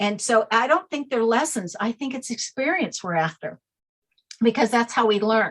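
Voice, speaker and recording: Lively intonation marks this woman's fairly high-pitched voice. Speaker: name expert, author. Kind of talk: interview. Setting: podcast. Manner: fast.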